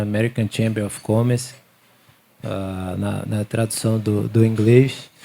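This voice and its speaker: A man speaks at a fairly slow pace in a Sergipe accent, with a medium pitch and a dark, mellow tone. His intonation stays monotone and flat. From Aracaju, Sergipe, Brazil. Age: 30s. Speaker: business chamber regional manager. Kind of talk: panel discussion.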